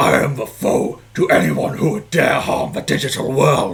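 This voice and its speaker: A man puts on a gravelly, growling, rumbling character voice at a medium pitch and a moderate pace. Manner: powerful, weighty, with gravitas.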